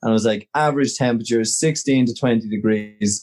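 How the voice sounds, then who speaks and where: Over a quiet background, a man with an Irish accent speaks at a medium pitch with fairly even intonation. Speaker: podcast co-host. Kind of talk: casual chat. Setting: video call.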